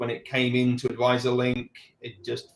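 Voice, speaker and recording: A man with medium pitch speaks in a London accent. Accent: British, from London. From England, London. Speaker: financial advisor. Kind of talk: interview. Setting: live video stream.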